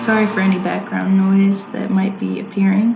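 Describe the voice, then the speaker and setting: A woman talks at medium pitch. Noticeable background noise is present. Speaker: poet. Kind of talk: casual talk to camera.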